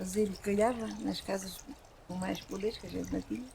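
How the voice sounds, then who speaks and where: This woman's voice sits at medium pitch. Her pace is moderate. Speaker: former rural worker. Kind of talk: life story interview.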